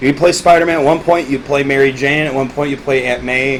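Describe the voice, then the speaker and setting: A man speaks fairly quickly with noticeable background noise behind him. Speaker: gaming podcast host. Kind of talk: casual chat. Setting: at home with a friend. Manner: animated.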